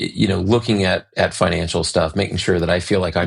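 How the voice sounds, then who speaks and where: Fairly quick speech comes from a man. His intonation remains fairly even. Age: 50s. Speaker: orthodontist podcast co-host. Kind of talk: casual podcast discussion. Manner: halting, repeats words.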